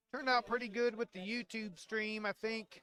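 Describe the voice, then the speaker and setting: A man speaks in a raised, projected voice with a high pitch. His tone is bright and sharp. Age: 60s. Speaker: bowling shop owner and league organizer. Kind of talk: live stream chat.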